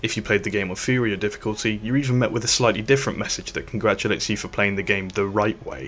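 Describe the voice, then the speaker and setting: A man rattles off his words very quickly while music sounds behind him. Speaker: game reviewer. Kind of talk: video game review narration. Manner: unenthusiastic, dry.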